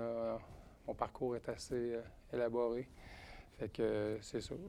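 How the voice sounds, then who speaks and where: A man's very slow, monotone, flat delivery at a medium pitch. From Edmonton, Alberta (francophone family from Quebec). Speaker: real estate investor and general contractor. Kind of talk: casual talk at a live investor meetup.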